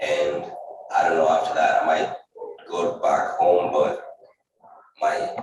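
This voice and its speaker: Speaking at a moderate pace with a Kenyan accent, a man is heard with audible room echo. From Kenya, Kalenjin village. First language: Kalenjin. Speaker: nursing student. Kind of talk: testimony.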